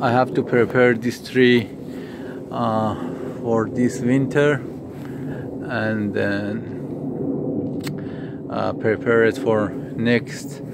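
Over loud background noise, a man talks at a very slow pace with long, frequent pauses, the sound dry with no echo. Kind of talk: casual vlog chat. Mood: disappointed, resigned. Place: garden. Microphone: phone near.

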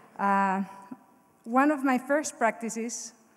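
A woman with a Mexican accent speaks at a fairly high pitch with ordinary pitch variation against a quiet background. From Mexico. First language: Spanish. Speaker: Hall of Fame inductee, former college golfer. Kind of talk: acceptance speech, read from prepared text. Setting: stage with audience at ceremony. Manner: emotional, slightly halting. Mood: grateful, emotional. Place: hall. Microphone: podium.

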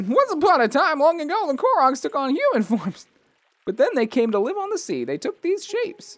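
Putting on a character voice, a man talks at an extremely high pitch with very wide pitch swings. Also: fairly quick pace. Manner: solemn, storytelling.

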